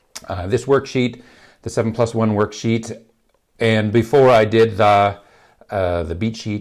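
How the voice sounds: At a fairly slow pace, a man speaks in a gravelly voice with fairly even intonation.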